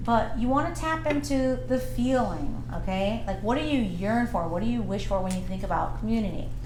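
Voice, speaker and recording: This woman talks at a fairly quick pace while audible room echo and noticeable background noise surround her. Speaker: podcast host. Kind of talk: casual chat. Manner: loud; animated.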